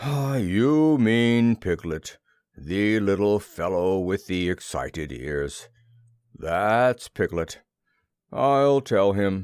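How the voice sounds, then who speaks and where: A man's put-on character voice, fairly low in pitch, at a very slow pace on a very clean recording with a silent background. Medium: read story. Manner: slow, mournful, deadpan.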